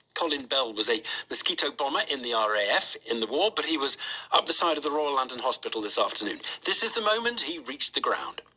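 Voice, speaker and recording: Amid noticeable background noise, a man talks very fast in a fairly high voice with very wide pitch swings. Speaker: radio presenter. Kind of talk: radio news interview.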